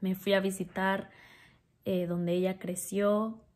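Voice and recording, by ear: This woman's voice has a medium pitch and a slightly mellow tone. Her pitch barely moves.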